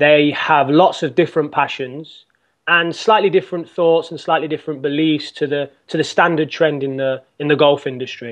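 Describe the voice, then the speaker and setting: This man speaks with an English accent at a moderate pace. His pitch is fairly high and his intonation fairly even. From England. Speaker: golf coach. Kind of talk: interview. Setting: podcast.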